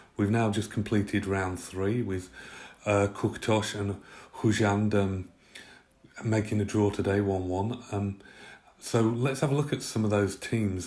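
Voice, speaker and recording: A man with an English accent talks at a moderate pace, his fairly low pitch carried in fairly even intonation. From Britain. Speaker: football pundit. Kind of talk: prepared football analysis talk. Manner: many fillers (uh, um).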